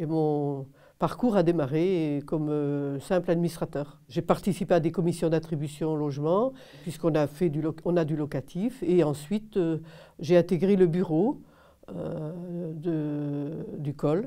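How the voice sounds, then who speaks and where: A woman speaks at a fairly slow pace in a very deep, low voice with a dark, mellow tone and ordinary pitch variation against a quiet background. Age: 70s. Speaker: housing cooperative board member. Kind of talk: interview answers. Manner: hesitant, many filler sounds.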